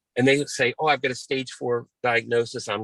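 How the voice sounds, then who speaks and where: A man at a moderate pace, with a dry, close sound and no echo. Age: 60s. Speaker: cancer patient sharing experience. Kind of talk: interview.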